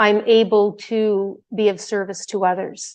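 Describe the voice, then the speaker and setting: An ordinary speaking voice: a woman at a fairly high pitch, fairly slow, with fairly even intonation against a quiet background. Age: 60s. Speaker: devotee giving testimony. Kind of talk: testimony.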